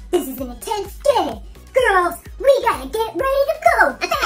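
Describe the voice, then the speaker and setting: A put-on character voice at an extremely high pitch talks at a moderate pace. Clear background noise runs underneath. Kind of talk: casual vlog chat. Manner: pumped-up, intense.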